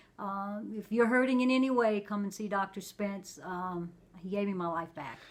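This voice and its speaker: A woman with a plain, everyday voice speaks at a moderate pace and medium pitch with ordinary pitch variation, on a very clean recording with a silent background. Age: 60s. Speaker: patient giving testimonial. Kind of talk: interview answer.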